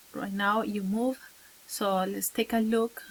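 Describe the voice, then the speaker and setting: Here is a woman with a Spanish accent. She talks at a fairly slow pace. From Venezuela. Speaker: teacher. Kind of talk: advice talk to camera. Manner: halting, many fillers.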